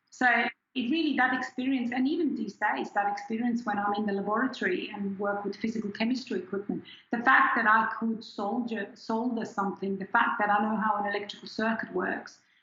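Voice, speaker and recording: With a German accent, a woman talks at a fairly quick pace in a fairly high voice with ordinary pitch variation. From Switzerland, near Zurich. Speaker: scientist. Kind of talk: interview. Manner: halting.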